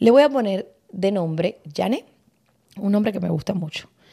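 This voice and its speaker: A woman speaks in a dark, mellow tone. Her intonation is lively and her pace moderate. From Cuba. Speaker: podcast host. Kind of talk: casual chat.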